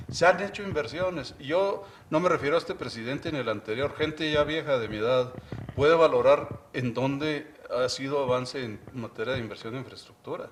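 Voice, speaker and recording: Noticeable background noise fills the clip. A man talks fairly quickly, his pitch varying in an ordinary way. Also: fairly high pitch for a man. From Mexico, Chihuahua. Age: 60s. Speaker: university official and economics commentator. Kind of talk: TV interview.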